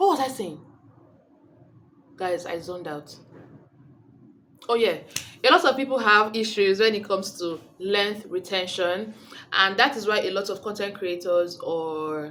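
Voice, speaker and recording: Long, frequent pauses mark a woman's speech at a medium pitch, with a fairly slow pace and ordinary pitch variation. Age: 20s. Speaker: beauty vlogger. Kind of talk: casual vlog talk. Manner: rambling, self-correcting.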